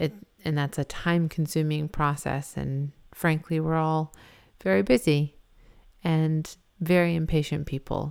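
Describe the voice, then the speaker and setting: A woman with an American accent talks at a fairly slow pace in a very deep, low pitch with ordinary pitch variation and long, frequent pauses, in a very clean recording with a silent background. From Massachusetts, US. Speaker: host's wife, mother. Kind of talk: casual religious discussion.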